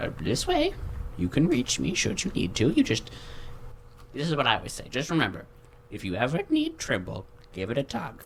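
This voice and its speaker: Man in a put-on character voice, medium in pitch and fairly quick, with long, frequent pauses over clear background noise. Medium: actual play. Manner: rambling, hesitant.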